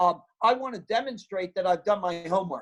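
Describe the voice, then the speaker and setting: This man's voice sits high in pitch and shows ordinary pitch variation. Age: 70s. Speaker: sales expert and keynote speaker. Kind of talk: webinar interview. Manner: high energy; repetitive false starts.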